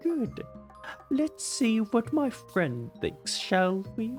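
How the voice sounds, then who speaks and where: Over clear background music, a put-on character voice with a fairly high pitch speaks at a very slow pace. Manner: pretentious, affected, snooty.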